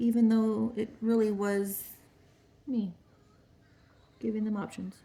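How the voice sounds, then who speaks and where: This woman's voice is somewhat breathy. She talks at a fairly slow pace. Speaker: small business owner and crafter. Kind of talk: craft tutorial vlog. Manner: casual, thinking aloud.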